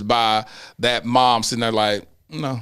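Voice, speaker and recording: A loud voice with a bright, sharp tone speaks at a fairly slow pace on a very clean recording with a silent background. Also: man. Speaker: podcast host. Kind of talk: casual chat.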